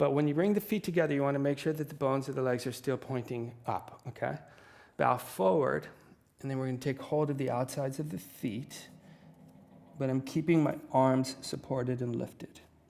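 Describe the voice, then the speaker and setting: An ordinary speaking voice from a man, medium in pitch, fairly quick, with ordinary pitch variation. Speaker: yoga teacher. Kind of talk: guided yoga class. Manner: calm instructional.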